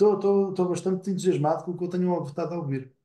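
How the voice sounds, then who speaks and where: A man with a high pitch speaks in a dark, mellow tone with fairly even intonation. The background is quiet, with audible room echo. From Portugal. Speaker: nonprofit board member. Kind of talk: online seminar discussion. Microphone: webcam.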